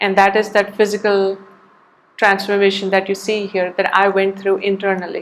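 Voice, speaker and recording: Noticeable background noise sits behind a woman speaking at a medium pitch. Her intonation is monotone and flat, and her pace is moderate. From India. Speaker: artist. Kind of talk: interview.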